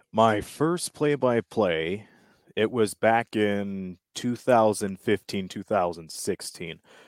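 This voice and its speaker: On a very clean recording with a silent background, a man speaks very slowly at a fairly low pitch with ordinary pitch variation. The sound is dry and close, with no echo. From Windsor, Ontario, Canada. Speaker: sports broadcaster, play-by-play announcer. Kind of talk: casual interview.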